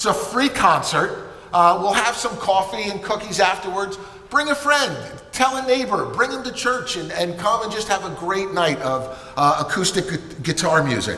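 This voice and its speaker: A man uses a raised, projected voice with lively intonation, with audible room echo and light background noise. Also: moderate pace. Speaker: pastor. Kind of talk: church announcements. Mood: warm, upbeat. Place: church. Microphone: headset.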